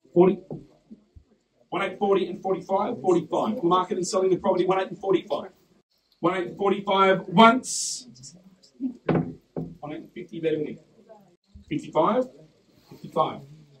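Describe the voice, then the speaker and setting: With an Australian accent, a man in a high voice speaks at a fairly slow pace, using ordinary pitch variation, big swings in loudness, and long, frequent pauses. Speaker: property auctioneer. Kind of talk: live auction calling.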